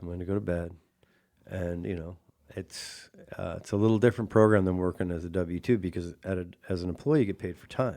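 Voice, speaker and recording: Speaking at a very fast pace in an American accent, a man with a very deep, low pitch and a dark, mellow tone keeps his intonation fairly even, in a very clean recording with a silent background. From Washington State, US (Chelan valley). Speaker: radio show host. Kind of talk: casual interview chat.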